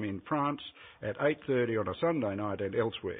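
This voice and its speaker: A man speaks with an Australian accent at a fairly quick pace. His pitch sits at a medium level, with ordinary pitch variation. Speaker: advocacy group representative. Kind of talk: formal opening statement at hearing. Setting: parliamentary committee hearing. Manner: fast.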